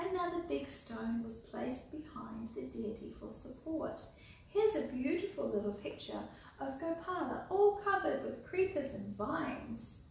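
Over light background noise and audible room echo, a woman speaks with big swings in loudness. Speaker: storyteller and deity clothing maker. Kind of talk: reading a story aloud from a book, children's storytime style. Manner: slow, clear, unhurried pacing with direct address to viewers. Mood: gentle, calm. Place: home room. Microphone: camera far.

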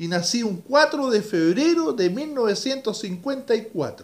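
A man with a Chilean accent, fairly slow, with very wide pitch swings. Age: 60s. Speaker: radio announcer. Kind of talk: personal video message. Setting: at home. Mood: emotional, grateful, reflective. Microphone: webcam.

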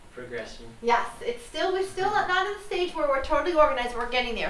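Through light background noise and audible room echo, a woman speaks at a fairly quick pace. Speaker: professional organizer host. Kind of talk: tutorial. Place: home room.

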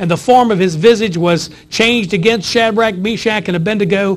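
Delivery moves along at a moderate speed. The pitch rises and falls in an ordinary way. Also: man. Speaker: pastor. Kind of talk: sermon. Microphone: lapel.

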